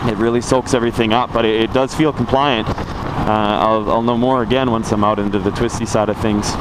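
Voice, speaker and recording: Noticeable background noise sits behind a man speaking at a medium pitch. His pace is fairly quick and his intonation fairly even. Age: 20s. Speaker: motorcycle reviewer. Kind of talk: casual ride-along review. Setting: riding a motorcycle outdoors in traffic. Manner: chatty, informal. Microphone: cheap mic on action camera.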